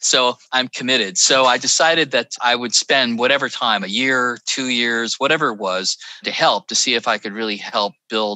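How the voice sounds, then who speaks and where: Speaking at a moderate pace with an American accent, a man keeps a medium pitch and ordinary pitch variation. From Northern California, Petaluma. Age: 60s. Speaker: tech executive and former venture capitalist. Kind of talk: interview conversation.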